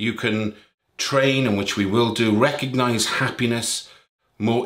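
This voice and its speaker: Here is a man with an unremarkable speaking voice at medium pitch. He talks at a fairly slow pace. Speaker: meditation teacher. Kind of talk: guided meditation; casual talk to camera. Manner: calm, slow, soothing, gentle pacing with long pauses; warm, caring, encouraging.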